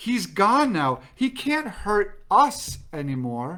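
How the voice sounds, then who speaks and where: A put-on character voice at a fairly high pitch moves at a very slow pace with very wide pitch swings. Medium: read story.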